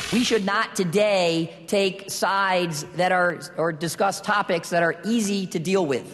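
A high-voiced man keeps his intonation fairly even and his loudness very even. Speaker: panel moderator, volunteer firefighter. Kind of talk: panel discussion. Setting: stage with audience. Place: hall. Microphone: podium.

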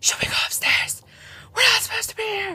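The speaker uses a put-on character voice. The pace is fairly quick. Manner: whispering.

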